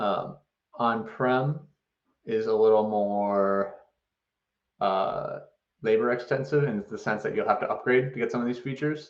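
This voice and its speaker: A man speaks at a medium pitch and a fairly slow pace. His intonation stays fairly even, broken by long, frequent pauses. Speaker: software company presenter. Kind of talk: webinar presentation with Q&A. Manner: hesitant fillers.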